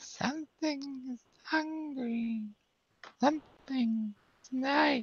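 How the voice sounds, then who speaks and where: A put-on character voice speaks at high pitch and a very slow pace. Long, frequent pauses break up the delivery. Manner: eerie, ghostly.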